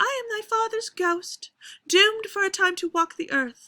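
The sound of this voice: At a moderate pace, a woman performs a put-on character voice at an extremely high pitch.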